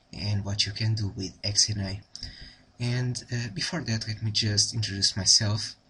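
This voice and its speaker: In a Portuguese accent, a man speaks at a fairly low pitch and a moderate pace. His intonation stays fairly even. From Portugal. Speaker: programming tutor. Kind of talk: tutorial. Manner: halting, many fillers.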